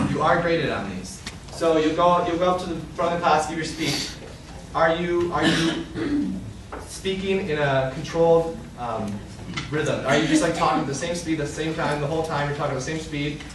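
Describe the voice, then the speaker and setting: A man with an American accent talks at a moderate pace and a fairly high pitch. There is noticeable background noise and audible room echo. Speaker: graduate student lecturer. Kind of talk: lecture. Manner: monotone; filler words.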